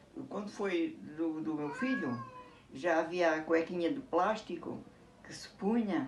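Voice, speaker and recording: The speech moves at a very slow pace. Noticeable background noise and audible room echo surround it. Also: woman. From Portugal, Alentejo (Elvas). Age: 70s. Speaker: interviewee recalling her past. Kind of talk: casual interview. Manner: halting.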